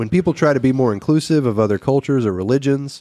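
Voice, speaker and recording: In an unremarkable speaking voice, a man with medium pitch speaks at a fairly quick pace with lively intonation. The recording is very clean and dry, close with no echo, over a silent background. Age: 40s. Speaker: podcast co-host. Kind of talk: casual chat; reading aloud.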